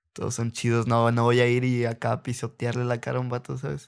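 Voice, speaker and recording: Pitched at a medium level, a man talks in an unremarkable speaking voice. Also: very clean recording, silent background. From Reynosa, Tamaulipas, Mexico. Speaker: rapper and former freestyler. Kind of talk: casual interview. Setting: at his home.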